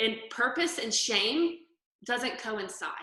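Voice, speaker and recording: A woman in a Southern US accent, with lively intonation. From US South. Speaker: interior photographer and stylist. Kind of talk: interview testimony.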